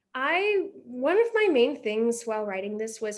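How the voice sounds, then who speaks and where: A woman speaks in an American accent. Her pitch varies in an ordinary way. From Oklahoma. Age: young. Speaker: playwright. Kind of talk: interview answer.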